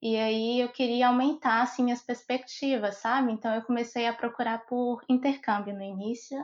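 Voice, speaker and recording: A woman's high voice in a monotone, flat intonation, with hardly any pauses. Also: moderate pace. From Brazil, Montes Claros, Minas Gerais. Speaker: civil engineer. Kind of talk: interview conversation.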